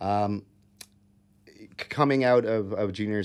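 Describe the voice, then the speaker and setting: Over a quiet background, a man with an American accent talks in a fairly low pitch with fairly even intonation. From Minnesota, US Midwest (Eagan). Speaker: youth hockey coach and former college player. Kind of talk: casual interview chat. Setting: studio. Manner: halting, many fillers.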